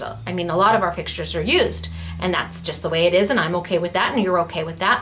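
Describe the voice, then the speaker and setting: Light background noise runs beneath a woman's voice. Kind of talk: casual vlog chat. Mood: chatty, slightly serious. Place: office. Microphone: webcam.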